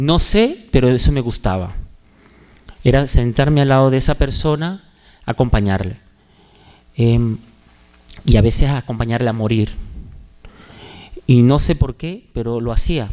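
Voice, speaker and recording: Slow-ish and marked by long, frequent pauses, a man speaks at a medium pitch with a dark, mellow tone. His pitch varies in an ordinary way at a fairly slow pace. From Venezuela, Maracaibo (Zulia). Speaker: religious brother, hospital chaplain. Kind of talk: testimony. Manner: halting, many fillers.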